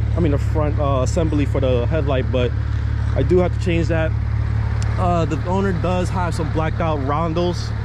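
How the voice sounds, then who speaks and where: With an American accent, a man speaks at a moderate pace in a dry recording with no echo and noticeable background noise. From New Jersey. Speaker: car YouTuber. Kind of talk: casual vlog walkaround. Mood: relaxed, a bit self-conscious. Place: street. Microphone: phone near.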